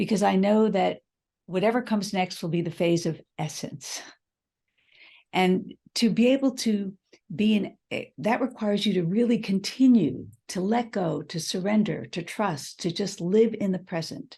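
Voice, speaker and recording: In a quiet setting, a woman with an American accent speaks at a moderate pace in a medium-pitched, somewhat breathy voice with a dark, mellow tone and ordinary pitch variation. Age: 70s. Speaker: leadership speaker, former business executive. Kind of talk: interview. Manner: reflective, with hesitations.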